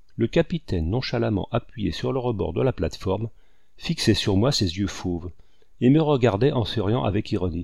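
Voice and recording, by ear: Lively intonation in a natural voice reading aloud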